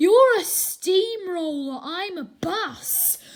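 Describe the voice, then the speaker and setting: In a put-on character voice, a woman speaks very slowly at an extremely high pitch with lively intonation. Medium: read story.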